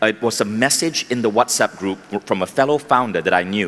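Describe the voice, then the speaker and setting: A man, ordinary pitch variation, moderate pace. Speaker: keynote speaker. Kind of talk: motivational talk. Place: stage. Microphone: headset.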